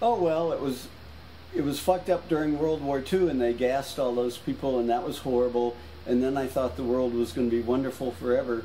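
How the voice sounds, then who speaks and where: A man speaks fairly quickly at a medium pitch with ordinary variation. Noticeable background noise runs underneath. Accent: American. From US South, New Orleans. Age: 70s. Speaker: painter. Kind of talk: casual chat.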